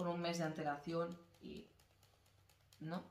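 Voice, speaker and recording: A quiet woman's voice, fairly low in pitch with fairly even intonation, plus noticeable background noise and audible room echo. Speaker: podcast co-host. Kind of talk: casual chat.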